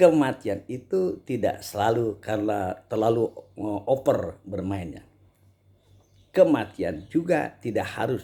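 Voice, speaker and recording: A man with a dark, mellow tone and medium pitch speaks at a fairly slow pace, somewhat breathy, with lively intonation. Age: 60s. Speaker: Islamic preacher and table tennis player. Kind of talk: casual advice monologue. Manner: halting, many fillers.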